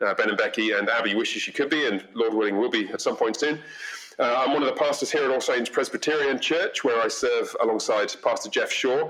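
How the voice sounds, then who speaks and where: With an English accent, a man talks at a fairly quick pace and very even loudness over noticeable background noise. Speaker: pastor. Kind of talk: podcast interview.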